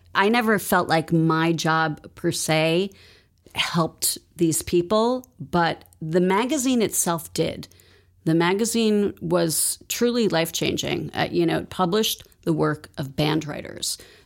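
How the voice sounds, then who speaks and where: Against a silent background in a very clean recording, a woman speaks at a very slow pace. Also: fairly low pitch for a woman, ordinary pitch variation. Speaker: nonprofit fundraiser. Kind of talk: interview.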